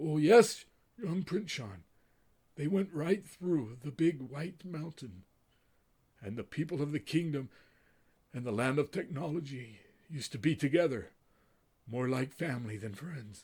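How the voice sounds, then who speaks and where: Using a put-on character voice, a man with a fairly high pitch speaks at a moderate pace, leaving long, frequent pauses. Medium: read story. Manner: slow, gentle, formal.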